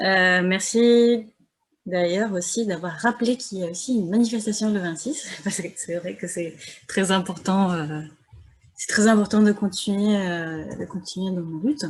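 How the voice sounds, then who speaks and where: A soft-spoken woman talks at a fairly slow pace in a medium pitch. Her somewhat breathy voice shows ordinary pitch variation. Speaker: academic discussant. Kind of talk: seminar commentary. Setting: video call.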